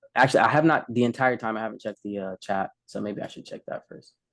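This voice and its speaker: The man talks very fast at a medium pitch, with ordinary pitch variation and big swings in loudness. The sound is dry and close, with no echo. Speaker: developer presenting demo. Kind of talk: casual tech demo chat. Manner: hesitant, many fillers.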